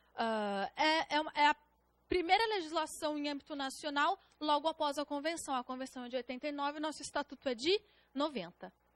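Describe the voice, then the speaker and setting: The tone is bright and sharp, with lively intonation at a moderate pace. The sound is dry and close, with no echo. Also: woman. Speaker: public defender and exam-prep lecturer. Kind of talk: lecture. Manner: halting, self-correcting.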